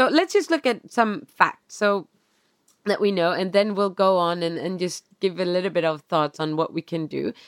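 A woman's medium-pitched voice in a Swedish accent, at a moderate pace with ordinary pitch variation and a dry, close sound with no echo. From Sweden. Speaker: podcast co-host. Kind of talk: casual chat. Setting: video call. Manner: calm.

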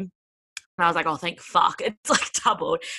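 The pace of this speech is moderate. It is delivered in an Australian accent. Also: woman. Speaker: podcast host and interviewer. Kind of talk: casual chat.

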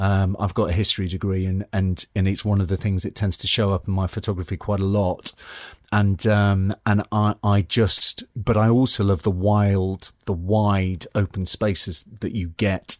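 A man with a slight Geordie accent, fairly low in pitch, in a monotone, flat delivery at a moderate pace, on a very clean recording with a silent background and a dry, close sound with no echo. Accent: slightly posh Geordie. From northern England, Newcastle upon Tyne. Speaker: actor and landscape photographer. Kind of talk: interview. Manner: halting, many repetitions.

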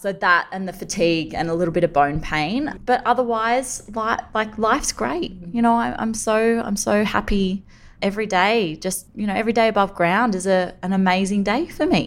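Lively intonation marks this moderate-paced speech in an Australian accent. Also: woman, medium pitch for a woman. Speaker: journalist and cancer survivor. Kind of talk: interview. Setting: remote call.

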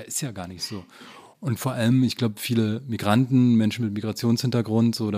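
At a moderate pace, a man talks with a dark, mellow tone. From eastern Germany, Frankfurt (Oder). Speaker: journalist and author. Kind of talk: casual interview conversation.

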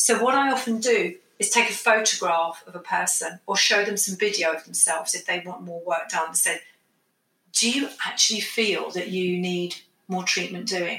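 This woman has an unremarkable speaking voice at medium pitch, with ordinary pitch variation. She talks at a moderate pace. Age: 50s. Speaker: aesthetics doctor. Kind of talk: interview.

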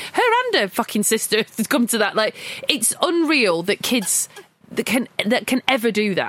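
On a dry, close recording with no echo but noticeable background noise, a woman with fairly high pitch speaks at a moderate pace with lively intonation and very even loudness. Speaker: film podcast co-host. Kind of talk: casual film discussion.

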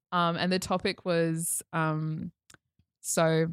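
Dry and close with no echo, the recording has a woman with an Australian accent speaking at a very deep, low pitch. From Queensland, Australia (Toowoomba). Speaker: podcast guest. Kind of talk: casual chat. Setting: studio.

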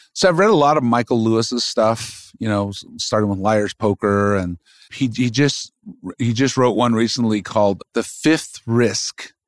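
Someone talks in a normal speaking voice at a moderate pace, with ordinary pitch variation. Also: man, medium pitch for a man. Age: 40s. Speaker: magazine publisher. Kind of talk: casual interview chat. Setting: office studio.

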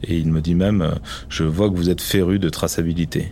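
At a fairly slow pace, a man speaks in a very deep, low voice with ordinary pitch variation. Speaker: winemaker. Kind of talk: testimony.

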